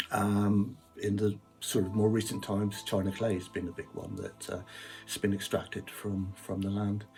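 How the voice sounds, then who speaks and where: Music plays behind a man with a Cornish accent and a fairly low pitch. He speaks with a monotone, flat intonation. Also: moderate pace. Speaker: piano player. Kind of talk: casual talk. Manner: hesitant, many fillers.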